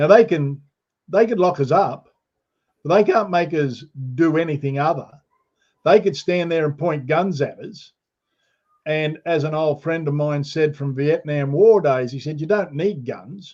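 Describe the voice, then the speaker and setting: With an Australian accent, the speaker moves at a fairly slow pace with long, frequent pauses and ordinary pitch variation. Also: man, fairly high pitch for a man. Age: 70s. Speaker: guest commentator. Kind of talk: casual live stream chat.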